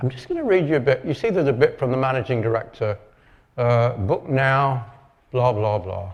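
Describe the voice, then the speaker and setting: Somewhat breathy and medium in pitch, a man talks at a fairly quick pace with ordinary pitch variation. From northern England, Lancashire. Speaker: marketing expert and copywriter. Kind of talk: conference talk.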